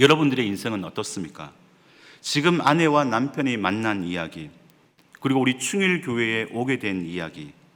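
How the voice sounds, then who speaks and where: Medium pitch and very wide pitch swings from a man speaking at a moderate pace. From South Korea, Gyeongsang province. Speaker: associate pastor. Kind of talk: sermon.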